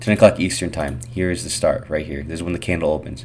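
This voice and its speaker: Talking at a very fast pace, a man keeps his intonation lively. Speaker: day trader sharing market recaps. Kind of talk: screen-share trading tutorial. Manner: casual.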